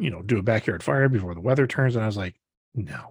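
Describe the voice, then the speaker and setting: A man's fairly low, somewhat breathy voice at a fairly quick pace with lively intonation, dry and close with no echo, in a very clean recording over a silent background. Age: 40s. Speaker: podcast co-host. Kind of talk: casual chat.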